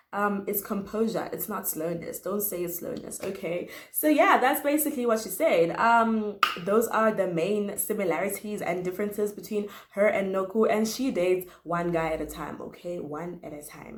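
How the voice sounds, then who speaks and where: A woman's pitch moves in an ordinary way while room echo can be clearly heard around her. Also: medium pitch for a woman, moderate pace. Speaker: YouTuber. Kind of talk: casual chat.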